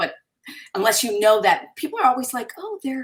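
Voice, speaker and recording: A woman's lively intonation with an American accent. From Syracuse, New York, then US Virgin Islands. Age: 60s. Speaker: fabric designer. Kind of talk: live online interview.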